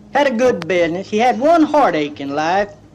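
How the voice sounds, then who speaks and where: The man talks at a moderate pace, his pitch swinging very widely. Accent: East Texas. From East Texas. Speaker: comedian. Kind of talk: comedy storytelling album. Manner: folksy, rambling.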